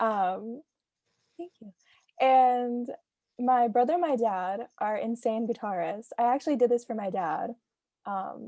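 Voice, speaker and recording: A woman speaks in a high voice with a dark, mellow tone. The sound is dry and close, without any echo. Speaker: student artist presenting artwork. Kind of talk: artist presentation at online reading. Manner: fast.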